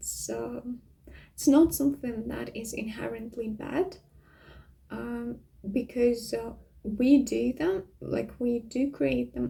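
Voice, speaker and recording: With a Russian accent, a woman speaks at a very slow pace, her loudness swinging widely. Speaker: vlogger. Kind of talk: casual monologue. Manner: hesitant, many fillers.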